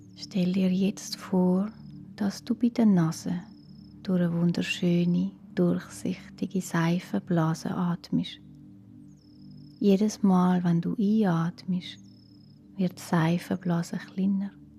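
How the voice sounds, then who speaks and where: Over music in the background, the speech moves at a very slow pace with long, frequent pauses. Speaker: meditation guide. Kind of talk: guided relaxation for children. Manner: calm, slow, soft-spoken.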